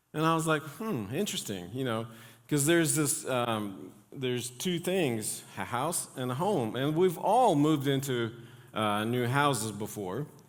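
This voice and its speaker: There is audible room echo as a man speaks fairly slowly with lively intonation. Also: medium pitch for a man. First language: not English. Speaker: pastor. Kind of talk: sermon. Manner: halting, many fillers.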